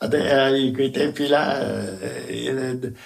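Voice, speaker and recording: A man's voice with a fairly high pitch. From Veneto, Polesine (Rovigo). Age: 90s. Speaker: retired telegraph worker and writer. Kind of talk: oral history interview. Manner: halting.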